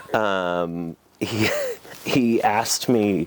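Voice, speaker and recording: A man with an American accent and ordinary pitch variation, amid noticeable background noise. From Boston, Massachusetts. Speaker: wine business owner. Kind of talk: oral history interview. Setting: in person at a wine business. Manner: hesitant, many fillers and restarts.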